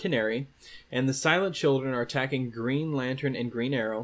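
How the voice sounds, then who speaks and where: Speaking with a plain, everyday voice, a man holds a medium pitch, and his pitch varies in an ordinary way. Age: 20s. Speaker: comic book podcast host. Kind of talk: solo podcast recap and reading of letters. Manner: casual with frequent fillers.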